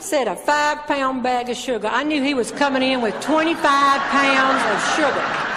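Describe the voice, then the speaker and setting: A woman with a Southern US accent uses a raised, projected voice at a high pitch and very even loudness. Crowd noise can be heard in the background. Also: ordinary pitch variation, moderate pace. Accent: Southern American. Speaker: humorist and motivational speaker. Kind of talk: stand-up storytelling to a live audience. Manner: humorous, well-timed delivery.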